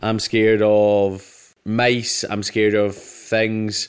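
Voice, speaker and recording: With a Scottish accent, a man speaks at medium pitch in a very clean recording with a silent background. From Scotland. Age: 30s. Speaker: comedian. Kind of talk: casual chat.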